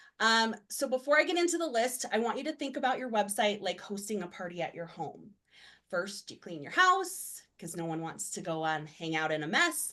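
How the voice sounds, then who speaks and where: A woman's fairly high, bright, sharp voice at a moderate pace with very wide pitch swings. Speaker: web designer presenting a webinar. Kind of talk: webinar presentation. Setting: video call.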